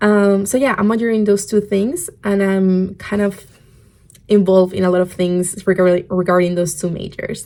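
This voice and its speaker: A woman with a Spanish accent, medium pitch, fairly even intonation and a dark, mellow tone. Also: moderate pace. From Spain. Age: 20s. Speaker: podcast host. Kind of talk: casual podcast talk.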